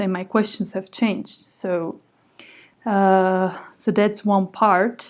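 A woman with a Slovak accent speaks at a very slow pace, her medium pitch following a fairly even intonation. The recording is very clean, with a silent background. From Slovakia. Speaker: writer and literary translator. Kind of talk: interview. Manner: hesitant, many fillers.

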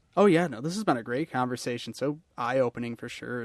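Speaking fairly quickly, a man uses a plain, everyday voice at medium pitch with ordinary pitch variation. The sound is dry and close, with no echo. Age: 30s. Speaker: podcast host. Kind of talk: interview conversation. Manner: casual, filler-heavy.

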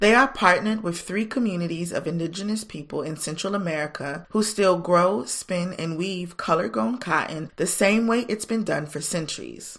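At a moderate pace with hardly any pauses, an unremarkable speaking voice carries lively intonation on a very clean recording with a silent background. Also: woman, fairly low pitch for a woman. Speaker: podcast host. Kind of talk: casual interview.

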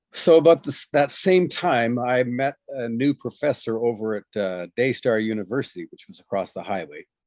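A man's unremarkable speaking voice at a medium pitch and moderate pace, with lively intonation and big swings in loudness, dry and close with no echo against a quiet background. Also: hardly any pauses. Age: 60s. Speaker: farming trainer and missionary. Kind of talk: interview.

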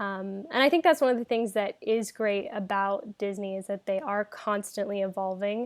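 A woman of medium pitch at a moderate pace, with ordinary pitch variation, a dry, close sound with no echo, and a very clean recording with a silent background. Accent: American. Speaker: Disney fan, former theme park and cruise worker. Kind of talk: casual chat.

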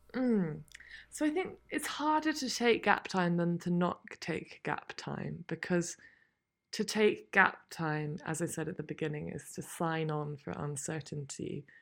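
A woman's fairly low voice with a British accent at a fairly slow pace, in a very clean recording with a silent background. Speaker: author and endurance horse racer. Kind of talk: interview chat.

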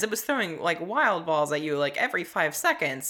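A woman talks very fast with an American accent. Her tone is animated, with very wide pitch swings. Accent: Southern accent mostly gone. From US South, Tennessee. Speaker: podcast co-host. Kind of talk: casual chat.

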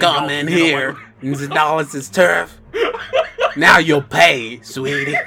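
A put-on character voice, husky and in a Southern accent, moves at a fairly slow pace. It leaves long, frequent pauses. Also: man, fairly high pitch for a man. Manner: threatening, sassy.

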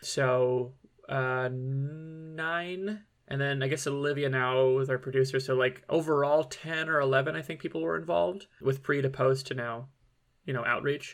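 This man has an unremarkable speaking voice and a medium pitch. He talks at a moderate pace, and his pitch varies in an ordinary way. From Michigan. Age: 30s. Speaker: comedian. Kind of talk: casual chat.

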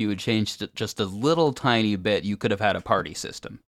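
A man with a plain, everyday voice, fairly low in pitch, in a very clean recording with a silent background. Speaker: podcaster and musician. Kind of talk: casual chat.

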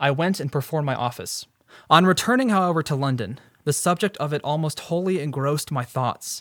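A man with a plain, everyday voice, a fairly high pitch, ordinary pitch variation and a fairly quick pace, in dry, close sound with no echo. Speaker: podcast host. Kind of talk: casual educational chat about history. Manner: explanatory, conversational.

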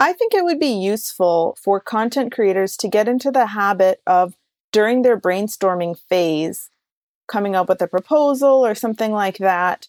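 A woman with an American accent and a normal speaking voice uses lively intonation at a fairly high pitch, recorded very cleanly, dry and close with no echo over a silent background. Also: moderate pace. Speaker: PhD student and artist. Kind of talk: interview.

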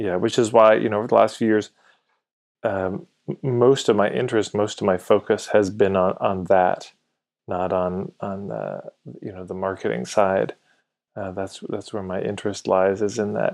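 Man with a Canadian accent in a normal speaking voice, fairly low pitch, fairly even intonation, moderate pace and big swings in loudness. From Alberta, Canada (Edmonton). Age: 40s. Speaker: marketing coach. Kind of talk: casual chat.

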